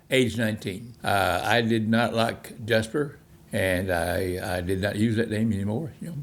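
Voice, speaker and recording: Speaking at a moderate pace, a man with a Texan accent uses a fairly low pitch and ordinary pitch variation. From Texas, Fort Worth. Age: 90s. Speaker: navy veteran. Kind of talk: life story interview. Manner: halting, with frequent repetitions.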